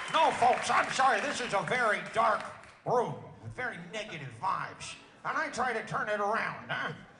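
Lively intonation at a moderate pace, with crowd noise in the background. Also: man, high pitch for a man. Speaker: comedian. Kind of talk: stand-up. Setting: stage with audience.

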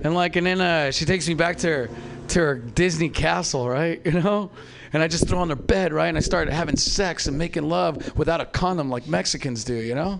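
A man talks at a fairly quick pace with a fairly high pitch and ordinary pitch variation, and noticeable background noise sits behind him. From Mexico. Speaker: stand-up comedian. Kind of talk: stand-up. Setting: stage with audience.

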